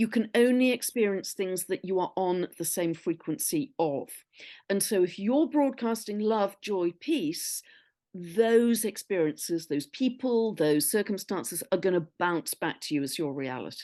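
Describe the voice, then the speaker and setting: A woman's medium-pitched voice, dark and mellow in tone, with lively intonation, a fairly slow pace and a quiet background. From Newcastle, England. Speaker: astrologer. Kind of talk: interview answer.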